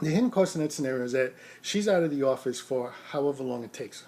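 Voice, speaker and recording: Over a very clean recording with a silent background, a man speaks at a very fast pace. His pitch is fairly high, with ordinary pitch variation. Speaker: rideshare driver and vlogger. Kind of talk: casual vlog monologue. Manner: soft-spoken; halting, with repeated words and fillers.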